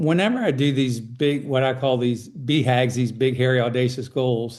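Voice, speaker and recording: A man with a plain, everyday voice, medium pitch, fairly even intonation, very even loudness and a moderate pace. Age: 60s. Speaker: endurance athlete. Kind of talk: interview.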